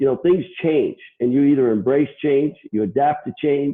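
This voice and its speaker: A man with a fairly high pitch speaks at a moderate pace in an unremarkable speaking voice. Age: 60s. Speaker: HVAC controls distributor CEO. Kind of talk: interview.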